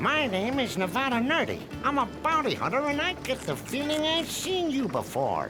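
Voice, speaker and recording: Over loud background music, a high-pitched cartoonish character voice performs. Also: moderate pace. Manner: whiny, comic.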